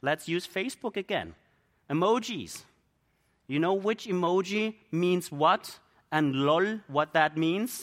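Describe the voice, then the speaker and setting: Speaking very slowly in a German accent, a man has a high pitch with ordinary pitch variation. The recording is very clean, with a silent background. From Germany. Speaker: missionary preacher. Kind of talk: sermon.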